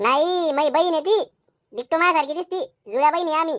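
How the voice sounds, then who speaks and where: A woman does a squeaky, cartoonish character voice at an extremely high pitch and a moderate pace, with a dry, close sound and no echo. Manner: sly, brazen.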